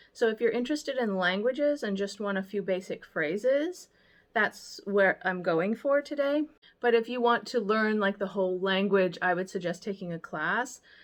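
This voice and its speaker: A woman with an American accent, medium pitch, lively intonation and a moderate pace. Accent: American accent when speaking German. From United States. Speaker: vlogger and baker. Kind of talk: casual language tutorial vlog. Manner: casual with frequent fillers.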